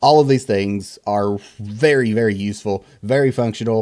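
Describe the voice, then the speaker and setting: Using a Southern US accent, a man speaks at a moderate pace in a medium pitch with ordinary pitch variation and a dark, mellow tone. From US South. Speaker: tech reviewer, content creator. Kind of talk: tech review. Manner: casual, many fillers.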